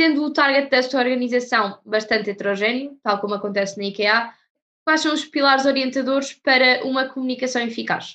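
Projecting a raised voice at a high pitch, a woman speaks at a fairly quick pace with a bright, sharp tone and ordinary pitch variation over a quiet background. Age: young. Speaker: student podcast host. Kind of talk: interview.

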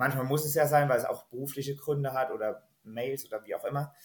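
Somewhat breathy, a man speaks at a fairly quick pace and a fairly high pitch. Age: 30s. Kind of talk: podcast interview.

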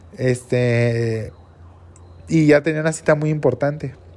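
A man with a Mexican accent and a dark, mellow tone speaks with ordinary pitch variation. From Mexico. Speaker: entrepreneur, seafood trader. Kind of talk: personal storytelling monologue.

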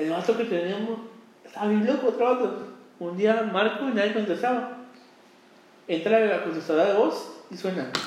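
A man's high voice with ordinary pitch variation and long, frequent pauses, amid noticeable background noise and audible room echo. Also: moderate pace. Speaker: podcast host. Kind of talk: casual chat. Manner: halting.

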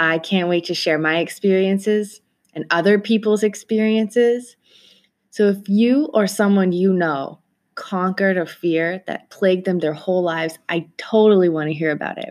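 Over a quiet background, a woman with a plain, everyday voice talks at a moderate pace, her pitch medium and its variation ordinary. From Toronto, Canada. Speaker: podcast host. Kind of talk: solo podcast monologue.

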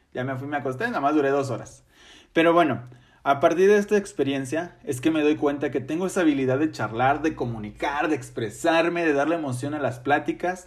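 A man with an ordinary speaking voice, fairly high pitch and ordinary pitch variation, at a fairly quick pace on a very clean recording with a silent background. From Mexico, Ciudad Victoria, Tamaulipas. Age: 30s. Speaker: podcast host and teacher. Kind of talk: solo podcast monologue.

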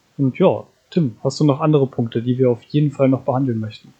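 A somewhat breathy voice talks at a fairly quick pace. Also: man. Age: 20s. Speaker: podcast co-host, gamer. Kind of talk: casual chat.

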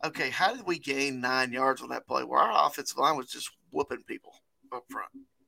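A man with an American accent and a bright, sharp tone, in a dry, close sound with no echo and a very clean recording with a silent background. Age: 40s. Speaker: sports podcast co-host. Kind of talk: casual chat. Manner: less lively than usual.

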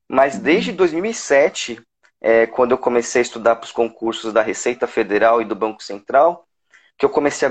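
With lively intonation, a man speaks at a moderate pace in an unremarkable speaking voice. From São Paulo, Brazil. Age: 30s. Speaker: civil service exam candidate, lawyer. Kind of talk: casual interview.

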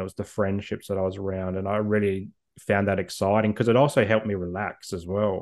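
A man with an Australian accent, fairly low in pitch, at a fairly quick pace over a quiet background. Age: 30s. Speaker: mental health advocate. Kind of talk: interview.

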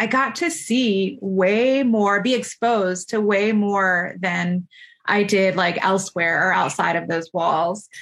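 Speaking with an American accent, a woman uses a medium pitch with ordinary pitch variation. Her pace is very slow, and the background is quiet. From Florida. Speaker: pharmacy professor. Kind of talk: interview.

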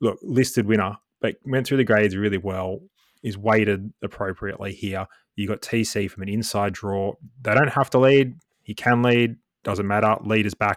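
A man with an Australian accent, fairly low-pitched, at a moderate pace with fairly even intonation, on a very clean recording with a silent background and a dry, close sound with no echo. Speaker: guest co-host, form analyst and former golf pro. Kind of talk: casual banter podcast about horse racing. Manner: jokey, dry humour.

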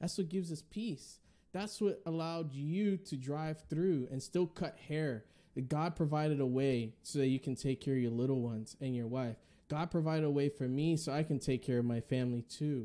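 A man's fairly high, dark and mellow voice at a moderate pace, with ordinary pitch variation, in a very clean recording with a silent background. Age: 20s. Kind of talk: casual interview chat.

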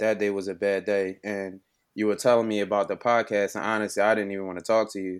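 Over a silent background in a very clean recording, a man talks very fast. He has a Philadelphia accent and a monotone, flat intonation. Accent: Philadelphia American. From Philadelphia, US. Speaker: entrepreneur. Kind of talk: interview.

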